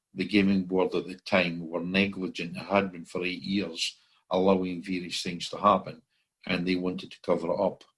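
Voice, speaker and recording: A man with a Scottish accent, very deep and low, monotone and flat at a moderate pace, with big swings in loudness. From Scotland. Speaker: common law court founder. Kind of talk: interview. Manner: hesitant, many fillers.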